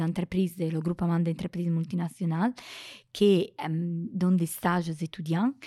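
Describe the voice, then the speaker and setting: The voice has a dark, mellow tone at a moderate pace. The sound is dry and close, with no echo. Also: woman. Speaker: statistics researcher and lecturer. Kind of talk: interview. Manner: halting, many hesitations.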